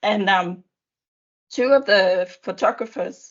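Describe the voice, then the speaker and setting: A woman speaks with a Danish accent. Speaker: education official. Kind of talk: panel discussion. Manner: halting.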